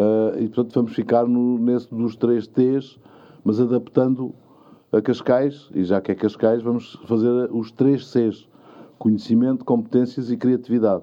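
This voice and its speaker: The delivery is monotone and flat, moving at a fairly slow pace. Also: man, medium pitch for a man. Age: 60s. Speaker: mayor. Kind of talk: interview.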